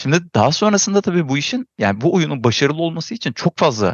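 Speaking at a fairly quick pace, a man with a fairly high pitch and vocal fry swings his pitch very widely. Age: 40s. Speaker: game designer and producer. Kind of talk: casual chat.

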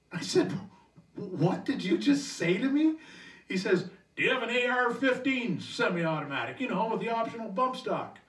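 With lively intonation and an extremely high pitch, a man speaks at a moderate pace amid audible room echo. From Canada. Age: 60s. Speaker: stand-up comedian. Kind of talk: stand-up comedy set. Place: home room.

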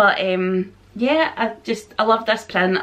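At a very slow pace, a woman with a Scottish accent speaks with a fairly high pitch. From Scotland. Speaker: vlogger. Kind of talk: haul video chat to camera. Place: home room.

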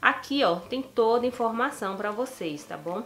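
An unremarkable speaking voice at a moderate pace, with ordinary pitch variation over light background noise. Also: woman. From Brazil. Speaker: YouTuber. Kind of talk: tutorial. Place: home room. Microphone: phone near.

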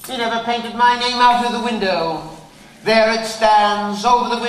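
What we hear is an unforced reading voice.

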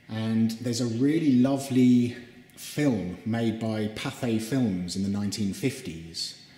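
Room echo can be heard around a man's voice. His pitch varies in an ordinary way. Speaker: presenter. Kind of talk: guided tour commentary. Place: hall. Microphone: phone near.

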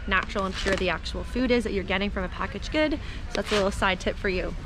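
A woman talks at a very fast pace. Background noise is noticeable. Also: dry sound with no echo. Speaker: nutrition vlogger. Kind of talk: casual vlog chat. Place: shop. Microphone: phone near.

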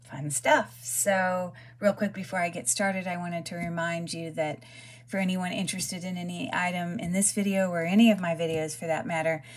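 The woman's voice is somewhat breathy and fairly low in pitch. She talks at a fairly quick pace. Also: ordinary pitch variation. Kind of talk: casual haul vlog chat. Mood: upbeat, excited.

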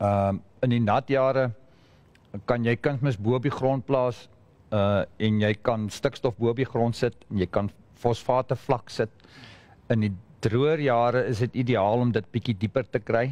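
Long, frequent pauses from a man with a South African accent, at a moderate pace and very even loudness. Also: fairly even intonation. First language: Afrikaans. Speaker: fertilizer specialist. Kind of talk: panel discussion. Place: hall.

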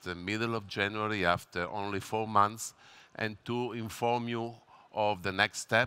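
A man talks at a very slow pace with a bright, sharp tone and fairly even intonation. The sound is dry, with no echo. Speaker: presenter. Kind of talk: press conference presentation. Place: hall. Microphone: headset.

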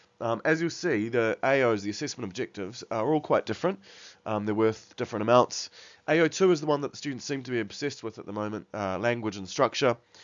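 Mumbling at a very fast pace, a man speaks at medium pitch with lively intonation. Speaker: English teacher. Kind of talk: tutorial. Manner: hesitant, many fillers; mumbly.

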